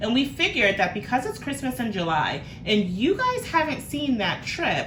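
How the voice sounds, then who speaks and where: With an American accent, the speaker moves at a moderate pace through very wide pitch swings, with audible room echo and noticeable background noise. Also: woman, high pitch for a woman. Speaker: family vlogger. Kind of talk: casual vlog talk. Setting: car. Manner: animated.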